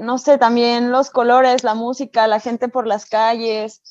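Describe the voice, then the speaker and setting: A woman with a high pitch speaks at a fairly slow pace and with fairly even intonation, the sound dry and close with no echo. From Mexico, Aguascalientes. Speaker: dentist. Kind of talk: interview.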